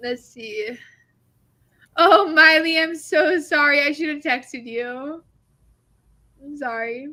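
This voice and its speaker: A woman with a high, bright, sharp voice projects loudly, swinging widely in loudness, with ordinary pitch variation and long, frequent pauses. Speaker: writing livestream host. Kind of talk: casual chat. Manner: fast.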